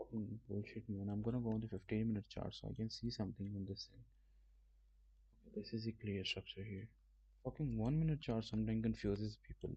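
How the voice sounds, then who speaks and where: A man's somewhat breathy, fairly low voice, dark and mellow in tone, with a non-native accent and fairly even intonation. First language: not English. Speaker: trading streamer. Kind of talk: live stream trading tutorial. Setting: live stream. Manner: casual, swearing, halting.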